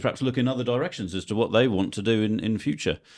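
Over a silent background on a very clean recording, a man with a Guernsey accent talks at a fairly quick pace in a fairly low voice with ordinary pitch variation. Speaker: sports editor. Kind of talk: casual chat.

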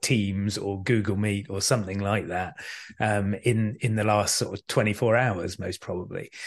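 This man has a British accent and a fairly low pitch. His intonation stays fairly even. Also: quiet background. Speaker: communication skills trainer and author. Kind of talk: casual interview chat.

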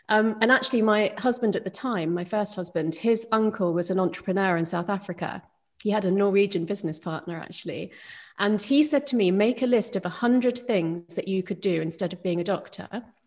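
A woman speaks at a fairly quick pace with a British accent. Her medium pitch shows ordinary pitch variation against a quiet background. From UK. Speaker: neuroscientist and doctor. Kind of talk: interview. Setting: video call.

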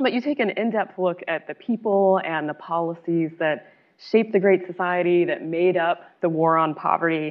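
A woman speaks in an ordinary speaking voice at a fairly low pitch. Her pace is moderate and her pitch variation ordinary. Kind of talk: moderated panel discussion. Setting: luncheon event with audience.

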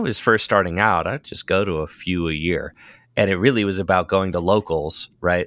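A man speaks in a bright, sharp tone. The sound is dry and close with no echo, in a very clean recording with a silent background. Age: 30s. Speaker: competitive card game player and content creator. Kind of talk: casual interview chat.

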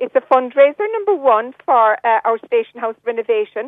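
A woman's high voice in a West Cork accent, with lively intonation. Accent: Irish (West Cork). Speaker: community volunteer. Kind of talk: radio interview.

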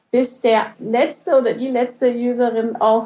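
The speaker is a woman with a high-pitched voice. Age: 50s. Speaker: conference interpreter. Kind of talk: interview.

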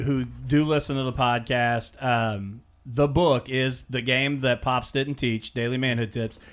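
A man with an American accent speaks at a medium pitch. His pace is fairly slow, with ordinary pitch variation. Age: 30s. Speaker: podcast host and high school teacher. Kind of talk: interview.

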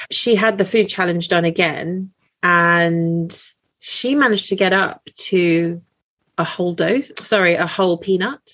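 A woman with a British accent, her loudness very even and her pace fairly slow. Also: medium pitch for a woman, ordinary pitch variation. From UK, British-born Chinese. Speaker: doctor. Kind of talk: casual chat.

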